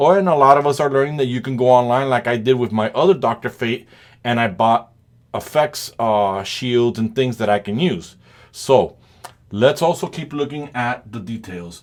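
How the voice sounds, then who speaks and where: The speaker has a non-native accent and ordinary pitch variation. The pace is moderate. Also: man, medium pitch for a man. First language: not English. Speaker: toy reviewer. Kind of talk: product review.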